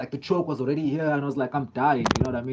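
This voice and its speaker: A man speaks with a South African accent. His pitch is fairly high. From South Africa, Durban. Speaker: live streamer, MMA fan. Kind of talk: live stream chat reading comments. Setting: live stream. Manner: casual, filler-heavy.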